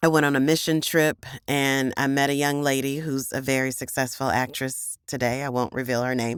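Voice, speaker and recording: A woman talks at a fairly quick pace with fairly even intonation. Her pitch is very deep and low. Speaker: voice actor. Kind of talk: personal storytelling interview.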